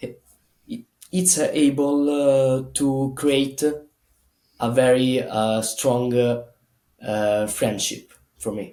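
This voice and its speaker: The voice has a dark, mellow tone and fairly even intonation, in an Italian accent. It moves at a very slow pace with long, frequent pauses. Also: man, medium pitch for a man. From Italy. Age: 20s. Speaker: gymnast. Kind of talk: casual interview. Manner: halting, many fillers.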